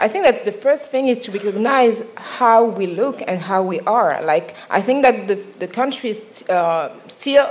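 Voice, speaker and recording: A woman in a Parisian accent, fairly high in pitch with ordinary pitch variation, at a moderate pace. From France, Paris. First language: French. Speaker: journalist and podcast host. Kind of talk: live podcast panel discussion. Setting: live recording on stage at a festival.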